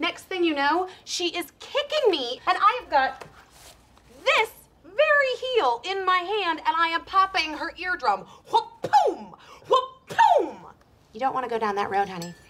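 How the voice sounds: Using a put-on character voice, a woman speaks fairly slowly at an extremely high pitch, her tone bright and sharp, with big pitch swings.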